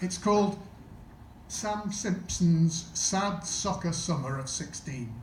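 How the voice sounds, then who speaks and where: A man with a Sheffield accent speaks at a fairly slow pace. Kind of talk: stand-up introduction to live audience.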